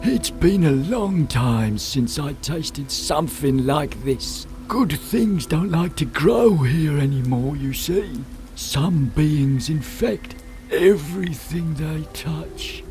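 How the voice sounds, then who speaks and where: Clear background noise sits behind a man doing a put-on character voice. He talks very slowly at a fairly high pitch. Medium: machinima. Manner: drawn-out, slow.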